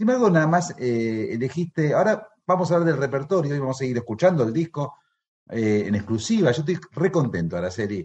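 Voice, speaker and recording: Pitched fairly high, this man's voice sounds somewhat breathy. He moves at a fairly quick pace with very wide pitch swings. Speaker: radio host. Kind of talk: radio interview. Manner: halting.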